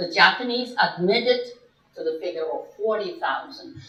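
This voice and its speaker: A woman with a Chinese accent speaks at a fairly slow pace, with very wide pitch swings. Audible room echo surrounds her voice. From China. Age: 80s+. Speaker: guest speaker. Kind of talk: lecture.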